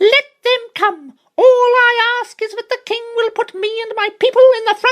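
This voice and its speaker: In a put-on character voice, extremely high, squeaky and shrill, the speaker keeps a moderate pace with hardly any pauses. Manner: eager.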